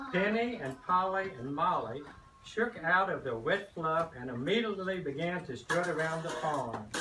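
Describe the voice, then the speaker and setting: Moderate pace and lively intonation, with audible room echo and noticeable background noise. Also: man, high pitch for a man. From Kentucky. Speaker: grandparent, farmer reading to children. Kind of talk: reading aloud to children. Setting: classroom.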